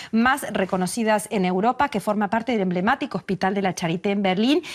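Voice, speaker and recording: A woman talks at a fairly quick pace in a plain, everyday voice, medium in pitch with ordinary pitch variation, the sound dry and close with no echo. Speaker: TV interviewer. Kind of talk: TV interview host.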